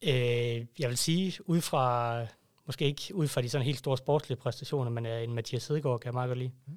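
Here is an ordinary speaking voice: a man at medium pitch with ordinary pitch variation, talking at a moderate pace. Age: 30s. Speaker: fan club member. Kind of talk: casual chat. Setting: studio.

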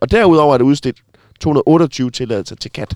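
The sound is dry and close, with no echo. A man talks fairly slowly with lively intonation. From Denmark, Sønderborg. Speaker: radio host. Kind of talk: casual chat. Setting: in a bus.

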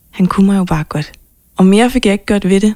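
Here is a woman with a medium pitch. Her intonation is fairly even. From Copenhagen, Denmark. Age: 20s. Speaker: pop singer-songwriter. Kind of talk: interview.

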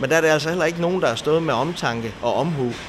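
A man's fairly high voice moves with ordinary pitch variation while noticeable background noise runs underneath. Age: 30s. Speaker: bakery and café owner. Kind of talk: interview. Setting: on location in a bakery. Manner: hesitant, many filler sounds.

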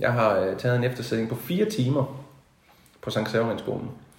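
Amid audible room echo, a man speaks at a fairly slow pace, his pitch medium with ordinary variation. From Denmark, Haderslev (South Jutland). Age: 40s. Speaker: musician. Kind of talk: interview. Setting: at the host's home. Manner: halting.

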